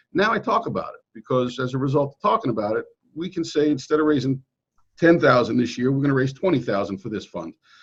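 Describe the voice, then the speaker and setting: A man with a Brooklyn accent talks at a very fast pace with a fairly high, somewhat breathy voice and very wide pitch swings. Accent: New York, Brooklyn-like. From New York City suburbs (Queens, then Nassau County, Long Island). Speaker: real estate agent. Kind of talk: interview. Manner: casual, repetitive with false starts.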